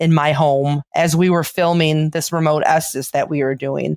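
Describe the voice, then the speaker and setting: Speech in a strong Chicago accent carries fairly even intonation. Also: woman, dry, close sound with no echo. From Chicago, South Side. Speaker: paranormal investigator and author. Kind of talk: podcast interview. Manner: casual, filler-heavy.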